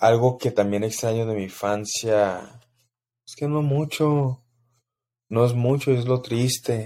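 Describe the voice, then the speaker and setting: On a very clean recording with a silent background, a man with a Mexico City accent and a dark, mellow tone speaks very slowly at a medium pitch, with fairly even intonation, big swings in loudness and long, frequent pauses. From Mexico City, Mexico. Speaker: podcast host. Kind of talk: casual solo monologue.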